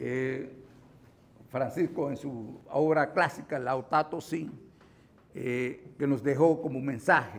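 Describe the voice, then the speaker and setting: Very slow and broken by long, frequent pauses, a man's fairly high voice keeps a fairly even intonation. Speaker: lawyer and forum speaker. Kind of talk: lecture. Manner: halting.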